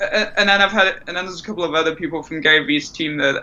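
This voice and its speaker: A man's very fast speech with fairly even intonation, over noticeable background noise. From northern England, North Yorkshire. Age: 20s. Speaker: podcast guest. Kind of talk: casual chat. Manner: halting.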